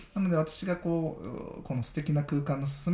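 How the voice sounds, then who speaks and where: The voice belongs to a man, somewhat breathy and dark and mellow in tone. He keeps a moderate pace. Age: 40s. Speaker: architect, podcast host. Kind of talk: casual chat.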